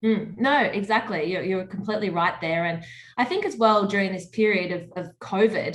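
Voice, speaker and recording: A somewhat breathy woman with an Australian accent, medium in pitch, at a moderate pace, with fairly even intonation and big swings in loudness. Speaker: media personality and charity swimmer. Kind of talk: interview.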